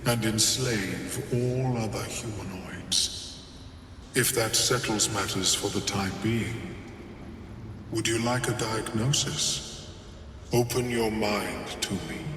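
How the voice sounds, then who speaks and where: A man in a put-on character voice at medium pitch, fairly slow pace, a clear echo and loud background noise. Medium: video game. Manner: precise, measured.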